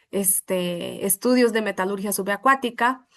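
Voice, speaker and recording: The speaker has a Brazilian accent. The background is quiet. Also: woman. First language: Portuguese (speaking Spanish). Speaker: welding metallurgy consultant. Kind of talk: webinar presentation.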